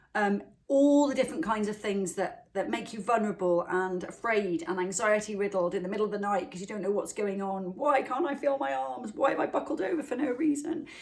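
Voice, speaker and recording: In a Welsh accent, a woman talks at a fairly quick pace with hardly any pauses, her fairly high pitch swinging very widely over noticeable background noise. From Wales. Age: middle-aged. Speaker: wellness channel host. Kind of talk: motivational talk to camera. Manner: fast.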